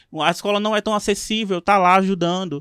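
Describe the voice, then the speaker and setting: A man speaks in a high voice with ordinary pitch variation. The recording is very clean and dry, close-miked with no echo and a silent background. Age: 20s. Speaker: teacher and podcast co-host. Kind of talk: casual interview chat.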